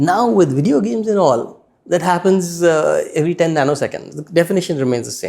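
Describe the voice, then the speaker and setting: With an Indian accent and lively intonation, a man speaks at a fairly quick pace in a high pitch. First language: Hindi. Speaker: spiritual teacher, former corporate executive. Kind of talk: interview.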